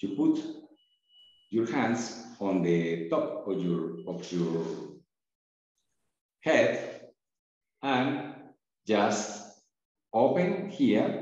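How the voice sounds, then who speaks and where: A man speaks at a medium pitch and a very slow pace, with very wide pitch swings and long, frequent pauses. Room echo is audible. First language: not English. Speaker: breathwork and meditation teacher. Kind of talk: tutorial. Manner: halting.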